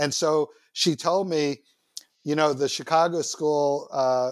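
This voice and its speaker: Over a silent background in a very clean recording, a man with an American accent talks in a plain, everyday voice at a fairly high pitch with fairly even intonation. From New York City (Manhattan, Queens). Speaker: university system founder and president. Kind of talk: interview.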